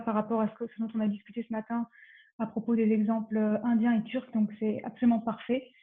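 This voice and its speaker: Someone with a strong French accent speaks at a very fast pace in a monotone, flat intonation. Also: woman. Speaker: panel discussant and moderator. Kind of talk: panel moderation. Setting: online conference.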